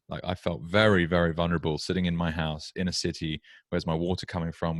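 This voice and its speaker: A man with a British accent talks very fast in a very deep, low voice, recorded very cleanly against a silent background with a dry, close sound and no echo. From UK. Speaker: podcast host. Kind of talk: interview podcast. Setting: at home.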